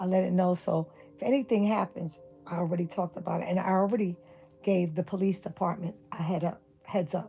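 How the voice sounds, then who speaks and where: A woman with a New York accent at medium pitch, fairly quick pace and fairly even intonation, with noticeable background noise. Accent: New York City. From New York City (Brooklyn). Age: 60s. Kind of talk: livestream rant.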